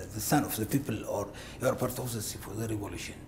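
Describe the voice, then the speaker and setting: A man with an Eritrean accent speaks in a dark, mellow, somewhat breathy tone with ordinary pitch variation over light background noise. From Ethiopia (Tigray); Ethiopia. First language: Tigrinya. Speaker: war veteran; interview guest. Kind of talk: interview. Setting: studio. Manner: halting. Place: studio. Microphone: lapel.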